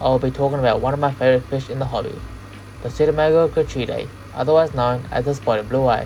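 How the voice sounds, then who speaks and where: Over noticeable background noise, a man talks very fast at a medium pitch with fairly even intonation. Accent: Australian. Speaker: aquarium hobbyist and fish breeder. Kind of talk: hobby tutorial voice-over.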